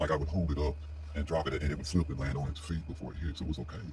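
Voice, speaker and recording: Against noticeable background noise, a man with an American accent talks at a very fast pace in a very deep, low pitch with fairly even intonation. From US South (Florida, North Carolina). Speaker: military veteran sharing personal history. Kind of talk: personal testimony monologue. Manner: halting, many fillers.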